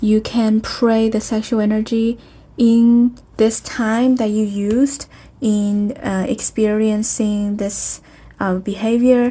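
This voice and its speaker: A woman speaks at a very slow pace in a fairly high, somewhat breathy voice with a dark, mellow tone and monotone, flat intonation. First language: not English. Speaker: spiritual healing video host. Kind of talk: spiritual self-help talk. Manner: halting, many fillers.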